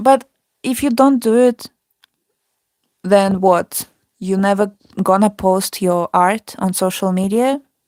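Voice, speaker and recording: A woman's medium-pitched voice at a very slow pace with ordinary pitch variation, dry and close with no echo, in a very clean recording with a silent background. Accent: non-native. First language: not English. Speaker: artist. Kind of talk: casual chat. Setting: live stream.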